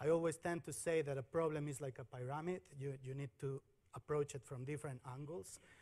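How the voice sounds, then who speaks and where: Against a quiet background, a man speaks in a somewhat breathy voice with ordinary pitch variation. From Mexico. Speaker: software engineer at a bank. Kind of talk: conference talk. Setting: stage with audience. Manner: halting, frequent repetitions. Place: stage.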